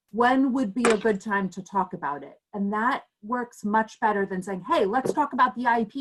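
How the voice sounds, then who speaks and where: A woman's somewhat breathy, fairly high voice with lively intonation. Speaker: parent advocate presenter. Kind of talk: presentation.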